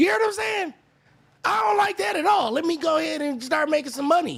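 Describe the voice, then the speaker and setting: An animated man shouts at a fairly quick pace in an American accent, his pitch swinging very widely. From Sacramento, California. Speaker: reaction streamer. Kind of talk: live reaction commentary. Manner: yelling.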